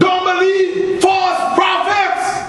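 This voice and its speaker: Through strong room echo and light background noise, a man speaks in an extremely high pitch with monotone, flat intonation. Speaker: preacher. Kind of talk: sermon. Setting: church. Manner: call-and-response preaching, punctuated by repeated 'Praise the Lord' and 'Amen'; exhorting, fervent. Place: church.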